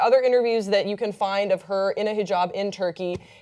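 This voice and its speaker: A woman's fairly quick speech comes through over noticeable background noise. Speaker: pop culture show panelist. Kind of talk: casual panel discussion.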